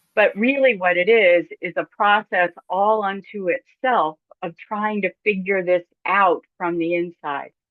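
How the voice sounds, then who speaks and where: A woman with a normal speaking voice and a medium pitch talks at a fairly slow pace with ordinary pitch variation. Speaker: church consultant and seminar presenter. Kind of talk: webinar lecture.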